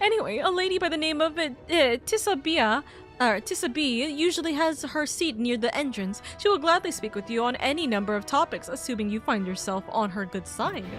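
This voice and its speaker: A strained, female-sounding put-on character voice, high-pitched and fairly quick, over clear music in the background. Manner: strained put-on voice.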